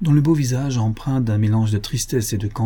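In a natural reading voice, the pitch rises and falls by ordinary amounts.

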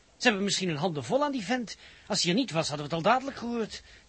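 A man does a put-on character voice at a very fast pace, high in pitch with big swings. His fairly bright tone has a husky, rough edge.

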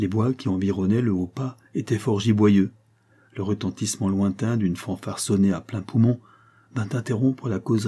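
Reading done in an unforced voice

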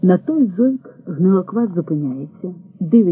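Lively intonation over plain reading aloud

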